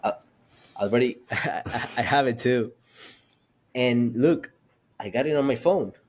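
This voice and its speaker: With a non-native accent, a man of medium pitch speaks at a fairly slow pace, with ordinary pitch variation and long, frequent pauses. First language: Spanish. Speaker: podcast host. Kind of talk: podcast conversation.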